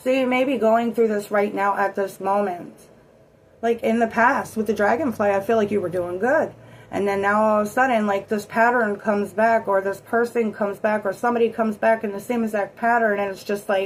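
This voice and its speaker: Her fairly high-pitched voice stays fairly even in intonation as this woman speaks. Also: fairly quick pace. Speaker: tarot reader. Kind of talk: tarot reading. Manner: casual; shaky voice.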